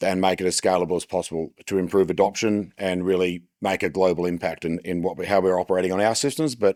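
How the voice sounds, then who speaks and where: Speaking very fast with fairly even intonation, a man with an Australian accent has a very deep, low pitch. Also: very clean recording, silent background. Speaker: agricultural business presenter. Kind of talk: conference presentation. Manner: hesitant with fillers.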